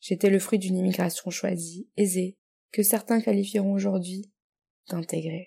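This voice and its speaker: Somewhat breathy female voice, its tone dark and mellow. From Morocco and France. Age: 20s. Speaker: guest writer. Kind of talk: reading aloud.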